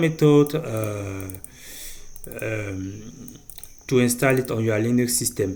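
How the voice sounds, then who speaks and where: A man with a non-native accent speaks with very wide swings in pitch. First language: not English. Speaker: programming tutorial creator. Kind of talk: tutorial. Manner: halting, with fillers.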